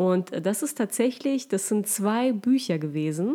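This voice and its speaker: A woman is speaking. Her tone is dark and mellow. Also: very clean recording, silent background. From Germany (moved from Russia aged six). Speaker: podcast co-host. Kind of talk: casual chat.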